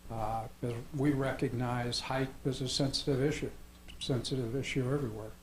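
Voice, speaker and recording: A man speaks at a medium pitch with a somewhat breathy voice. His intonation is flat and monotone, and room echo is audible. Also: moderate pace. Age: 70s. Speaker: property developer. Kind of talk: public meeting presentation. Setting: town planning commission meeting. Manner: hesitant with fillers.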